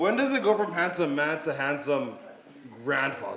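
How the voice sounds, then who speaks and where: High-pitched man with an American accent, very wide pitch swings and a moderate pace, amid audible room echo and noticeable background noise. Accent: non-Kenyan, Americanized English. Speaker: stand-up comedian. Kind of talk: stand-up. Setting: stage with audience. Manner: animated.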